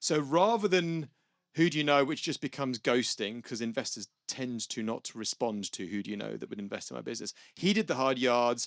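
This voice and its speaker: A man with a British accent speaks at a fairly quick pace and a medium pitch, with lively intonation. The sound is dry and close with no echo, a very clean recording with a silent background. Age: 50s. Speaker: venture capitalist. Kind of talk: panel discussion. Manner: casual, animated.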